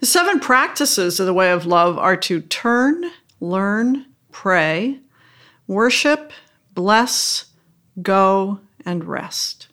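Bright and sharp in tone, a woman speaks at a medium pitch with very wide pitch swings, at a very slow pace marked by long, frequent pauses. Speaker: bishop hosting interview podcast. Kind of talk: interview, formal conversation.

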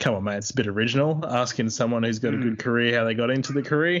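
A man talks with an Australian accent. His pitch sits in the middle range and varies in an ordinary way. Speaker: podcast co-host. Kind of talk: casual chat.

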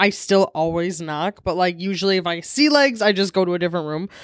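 In a very clean recording with a silent background and a dry, close sound with no echo, a woman with an unremarkable speaking voice and medium pitch talks at a fairly quick pace. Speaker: podcast co-host. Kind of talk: casual chat. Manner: joking, playful.

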